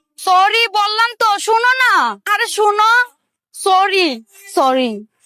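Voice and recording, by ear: A woman puts on a character voice, extremely high and bright and sharp. She speaks at a slow pace. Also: lively intonation.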